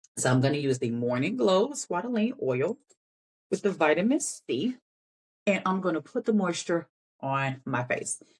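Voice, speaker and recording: A woman talks at a medium pitch. Her pitch swings very widely. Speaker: beauty vlogger. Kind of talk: casual tutorial. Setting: home, natural light. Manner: fast.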